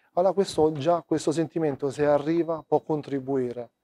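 A man speaks in a dark, mellow tone with fairly even intonation. The background is quiet. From Rome, Italy; Italy. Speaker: documentary photographer. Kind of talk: interview. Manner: halting. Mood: calm, reflective. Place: hall. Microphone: lapel.

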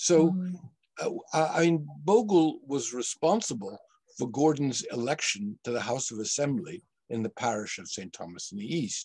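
A man speaks at a moderate pace over a quiet background. His pitch swings very widely, and his loudness swings a lot. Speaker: history professor. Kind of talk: panel discussion. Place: home room. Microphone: video call.

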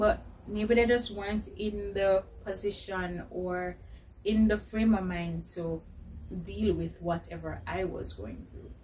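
Over light background noise, a woman speaks at a very slow pace with big swings in loudness. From Jamaica, rural St. Catherine. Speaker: YouTube vlogger. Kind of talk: casual Q&A vlog. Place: home room. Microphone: camera far.

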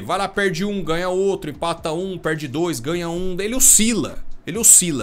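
A man with a high pitch talks at a moderate pace, his tone animated and his intonation lively. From Brazil. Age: 30s. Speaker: football commentator youtuber. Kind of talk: casual opinion monologue. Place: home room. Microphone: studio mic.

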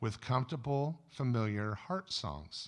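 The background stays quiet. A man talks at a fairly slow pace. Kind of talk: sermon-style talk. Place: stage. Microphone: studio mic.

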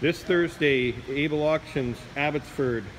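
Fairly high-pitched male speech at a fairly slow pace, fairly even intonation, and light background noise. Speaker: auction house presenter. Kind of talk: sales pitch walkthrough of auction lots, promotional video tour. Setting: walking through warehouse showing items on camera. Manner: casual, friendly, conversational with filler words. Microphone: phone near.

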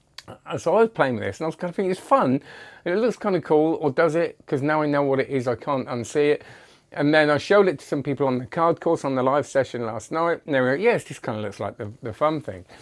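A man races through his words at a very fast pace, his intonation lively, with a quiet background behind him. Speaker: magic product reviewer. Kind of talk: casual review commentary. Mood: amused, chatty. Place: home room. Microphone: lapel.

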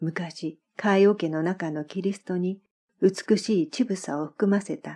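The voice is dark and mellow, somewhat breathy and calm and soothing in tone, moving at a very slow pace with ordinary pitch variation. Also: woman. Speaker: former Japanese teacher. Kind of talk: literary audiobook reading. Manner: calm, soothing.

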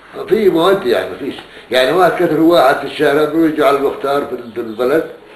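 A fairly high-pitched man races along at a very fast pace with ordinary pitch variation and big swings in loudness, amid light background noise and audible room echo. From Palestine, Gaza area; Palestine. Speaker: Nakba witness. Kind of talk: oral history interview. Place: home room. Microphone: camera far.

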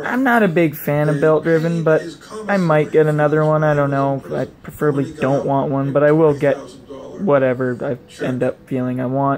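Noticeable background noise sits behind the speaker. A man talks at a moderate pace. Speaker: video blogger and RC hobbyist. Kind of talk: casual vlog monologue. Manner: rambling, filler-heavy. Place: home room. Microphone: phone near.

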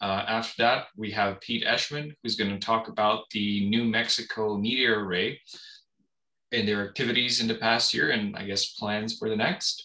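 A man's bright, sharp voice at a moderate pace, monotone and flat, against a quiet background. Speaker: meeting organizer for a meteor camera network. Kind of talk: moderating an online meeting. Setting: video call. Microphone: video call.

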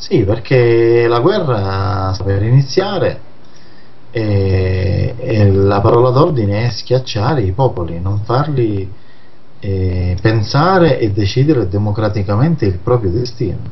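Noticeable background noise runs behind a man speaking at a very slow pace. His pitch is fairly low, with ordinary variation. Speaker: magazine director and anti-mafia activist. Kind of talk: radio interview discussing politics.

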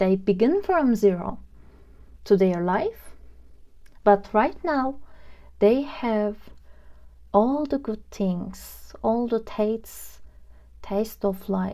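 A woman's fairly high-pitched voice in a dark, mellow and gentle tone with a non-native accent, at a very slow pace with long, frequent pauses, on a very clean recording with a silent background. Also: ordinary pitch variation. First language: not English. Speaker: tarot reader. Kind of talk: pick-a-card tarot reading to camera. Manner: casual, gentle, with filler words.

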